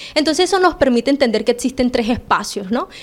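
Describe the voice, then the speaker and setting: A woman speaks with a high-pitched voice. Noticeable background noise runs underneath. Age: 20s. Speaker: political candidate. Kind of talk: interview.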